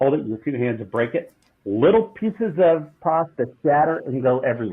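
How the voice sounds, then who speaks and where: A man is speaking at a fairly high pitch. He has an American accent. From southeastern US. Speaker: food company CEO. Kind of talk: interview answer.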